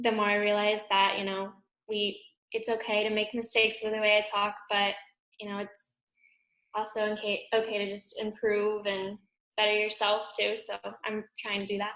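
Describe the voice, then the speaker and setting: A woman with an American accent speaks in a fairly high pitch with a bright, sharp tone and monotone, flat intonation. Her pace is moderate, with long, frequent pauses. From US South, Pensacola, Florida. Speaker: pre-PA student interviewee. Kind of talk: mock interview answers. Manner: halting, many fillers.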